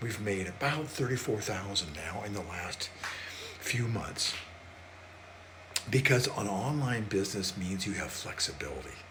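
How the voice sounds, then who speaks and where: A man at a fairly slow pace with ordinary pitch variation, in audible room echo and noticeable background noise. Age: 70s. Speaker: small business coach. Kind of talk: sales pitch.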